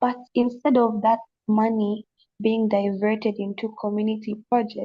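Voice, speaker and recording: Somewhat breathy and fairly high in pitch, a woman's voice has a dark, mellow tone and a monotone, flat intonation. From Zambia. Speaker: panelist on youth dialogue. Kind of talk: panel discussion. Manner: halting, many false starts.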